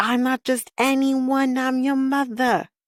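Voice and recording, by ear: Putting on a character voice, a female-sounding speaker talks at a fairly slow pace with a high pitch and flat, monotone intonation.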